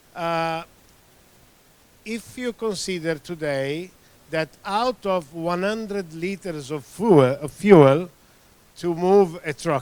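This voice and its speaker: This man has a high pitch and an Italian accent, with ordinary pitch variation. He talks at a very slow pace with long, frequent pauses. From Italy. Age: 60s. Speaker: tyre industry expert. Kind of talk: presentation. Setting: meeting room. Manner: halting, many fillers.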